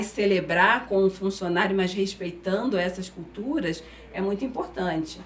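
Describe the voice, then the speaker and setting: Noticeable noise sits in the background. The woman's voice is medium in pitch. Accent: Carioca. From Brazil, Rio de Janeiro. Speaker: HR executive. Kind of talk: interview. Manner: halting, with many fillers.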